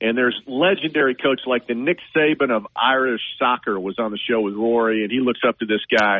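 In a plain, everyday voice, a man with a medium pitch and ordinary pitch variation talks at a fairly quick pace with hardly any pauses. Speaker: golf reporter. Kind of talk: casual sports chat. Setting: phone call.

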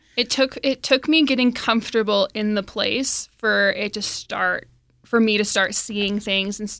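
Over a very clean recording with a silent background, a woman's bright, sharp tone carries fairly even intonation. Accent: American. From Wyoming, US. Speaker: guest sharing ghost stories. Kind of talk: casual chat.

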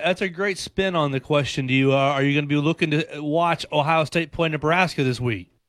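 With an American accent, a man talks at a fairly quick pace in a fairly high pitch, leaving hardly any pauses. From Chattanooga area, Tennessee-Georgia border. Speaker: fill-in sports radio host. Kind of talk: sports talk radio. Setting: radio studio.

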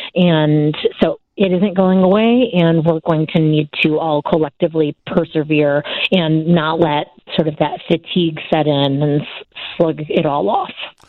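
Speaking at a fairly slow pace, a woman with a very deep, low pitch keeps her intonation fairly even and her loudness very even. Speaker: TV news correspondent. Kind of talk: radio interview.

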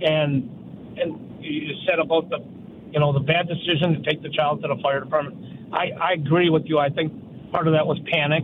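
There is noticeable background noise. A man speaks in a fairly high pitch. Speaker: caller. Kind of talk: call-in radio conversation. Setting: phone call.

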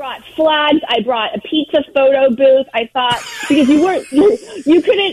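The pitch swings very widely throughout. Noticeable background noise is present. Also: woman. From Southern California. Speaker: world record holder, pizza collector. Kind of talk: interview. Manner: animated.

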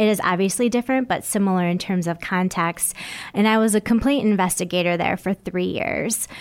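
Speaking at a fairly quick pace with an American accent, a woman has an ordinary speaking voice, a medium pitch, and ordinary pitch variation. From Michigan (Bay City). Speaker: mayoral candidate and lawyer. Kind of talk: radio interview.

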